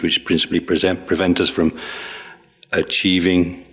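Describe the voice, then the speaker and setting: Speaking at a fairly quick pace, a man uses a very deep, low pitch and monotone, flat intonation. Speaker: Buddhist monk teacher. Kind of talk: dharma teaching review session. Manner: halting; fast.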